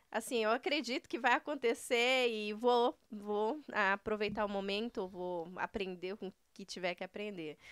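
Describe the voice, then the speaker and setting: In a dry recording with no echo and a quiet background, a woman talks at a fairly slow pace with hardly any pauses, a fairly high pitch, ordinary pitch variation and big swings in loudness. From Paraná, Brazil (Maringá); Paraná, Brazil. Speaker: entrepreneur, news site co-owner; news site co-owner. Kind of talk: casual interview. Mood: warm, smiling, animated. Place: studio. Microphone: studio mic.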